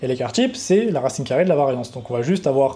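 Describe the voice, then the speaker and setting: A man with a fairly high, somewhat breathy voice and a dark, mellow tone speaks with lively intonation. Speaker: trading educator, YouTuber. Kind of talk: coding tutorial. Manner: casual, unscripted.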